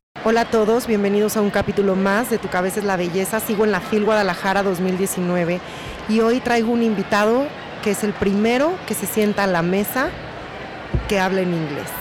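A woman's medium-pitched voice at a fairly quick pace with ordinary pitch variation and noticeable background noise. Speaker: podcast host. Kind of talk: podcast introduction; interview. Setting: hotel restaurant.

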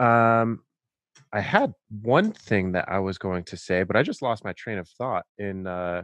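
Over a quiet background, a man with a plain, everyday voice talks at a fairly slow pace, his pitch fairly low with ordinary variation, in a dry, close sound with no echo. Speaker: podcast host. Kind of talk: casual interview, intro monologue.

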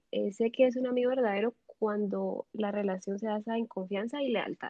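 A woman with an ordinary speaking voice talks at a moderate pace, her fairly high pitch held in fairly even intonation. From Nicaragua. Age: 20s. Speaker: university student. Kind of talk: casual chat.

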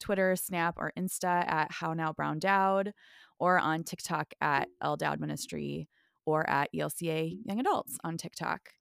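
In a very clean recording with a silent background and dry, close sound with no echo, a woman with an American accent and a normal speaking voice talks at a fairly slow pace in a fairly low pitch. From US Midwest. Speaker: pastor and author. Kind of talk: casual chat.

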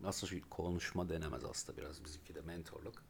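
Speaking very fast, a man with a very deep, low voice sounds somewhat breathy. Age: 30s. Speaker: podcast co-host. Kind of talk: casual chat. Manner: animated.

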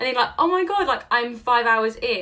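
With noticeable background noise behind her, a woman with a London accent speaks in a high pitch, her tone enthusiastic and animated and her intonation lively. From London, England. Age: 20s. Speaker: social media entrepreneur guest. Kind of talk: casual interview chat. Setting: remote call. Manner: enthusiastic, animated.

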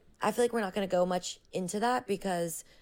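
The speech comes at a very fast pace with vocal fry. Pitch variation is ordinary. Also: woman. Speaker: podcast host. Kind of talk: interview. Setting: home. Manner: animated.

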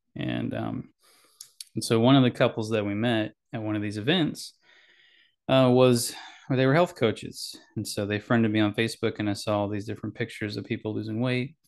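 A man with a plain, everyday voice speaks at a medium pitch and a fairly quick pace. His intonation is fairly even, and the background is quiet. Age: 40s. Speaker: podcaster, Navy veteran. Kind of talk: personal monologue.

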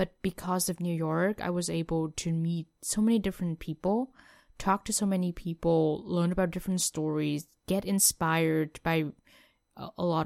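A woman speaks at a moderate pace with ordinary pitch variation in a very clean recording with a silent background and a dry, close sound with no echo. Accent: Vietnamese. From Vietnam. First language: Vietnamese. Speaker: former international student. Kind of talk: interview.

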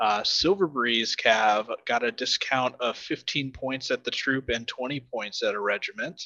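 A man with a Midwestern US accent, medium pitch, and a bright, sharp tone, speaking at a fairly slow pace with ordinary pitch variation and hardly any pauses. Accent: General American, Midwestern. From US Midwest, Nebraska. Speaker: tabletop wargame champion. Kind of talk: casual chat.

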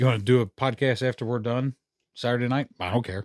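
A man at medium pitch with an American accent, very fast pace and fairly even intonation, dry and close with no echo, in a very clean recording over a silent background. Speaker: podcast host. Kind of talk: casual chat. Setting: studio.

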